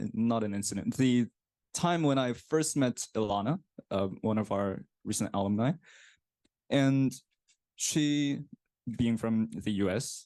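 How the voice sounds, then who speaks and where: A man with a Korean accent speaks with a dark, mellow tone. He leaves long, frequent pauses. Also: medium pitch for a man, ordinary pitch variation, fairly slow pace, quiet background. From South Korea. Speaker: graduate student. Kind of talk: presentation.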